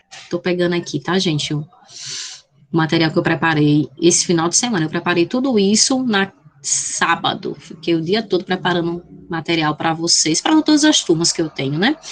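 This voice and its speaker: Against noticeable background noise, a woman talks at a moderate pace with a fairly low pitch and ordinary pitch variation. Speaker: math teacher. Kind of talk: online lecture. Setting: video call.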